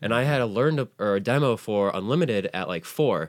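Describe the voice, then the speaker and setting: Lively intonation comes from a man on a very clean recording with a silent background. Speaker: card game podcaster. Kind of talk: casual chat. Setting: home studio. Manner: loud; animated.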